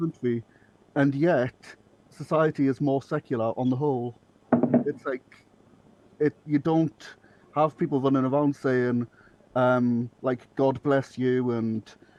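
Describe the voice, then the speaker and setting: At a fairly slow pace, a man speaks with fairly even intonation and long, frequent pauses, the sound dry and close with no echo and noticeable background noise behind it. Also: medium pitch for a man. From Northeast England. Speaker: comedy writer, podcast guest. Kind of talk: casual chat.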